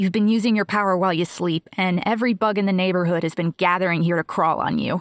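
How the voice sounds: What you hear is a natural reading voice.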